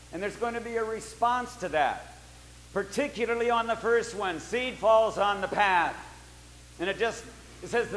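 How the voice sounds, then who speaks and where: A high-pitched man amid noticeable background noise. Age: 70s. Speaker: pastor. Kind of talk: sermon.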